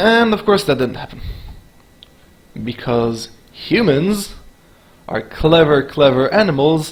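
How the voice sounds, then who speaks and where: With a non-native accent, a man speaks very slowly at a fairly high pitch, his pitch swinging very widely and long pauses coming often. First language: not English. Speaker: video commentator. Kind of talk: reaction commentary.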